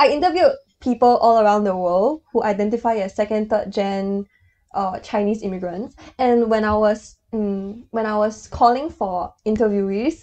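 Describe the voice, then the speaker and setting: In a Mandarin accent, a woman talks at a moderate pace with a fairly high pitch, ordinary pitch variation and a dark, mellow tone. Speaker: podcast co-host. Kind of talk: casual chat.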